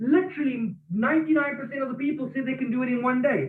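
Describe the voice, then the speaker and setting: The speech is loud and animated, with ordinary pitch variation. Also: man. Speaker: network marketing team leader. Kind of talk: online training call. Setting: office.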